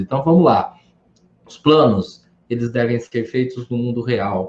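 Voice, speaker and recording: Somewhat breathy, a man talks. His pace is moderate. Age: 60s. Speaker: educator and speaker on psychology. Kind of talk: live stream talk. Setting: online live stream. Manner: animated, conversational.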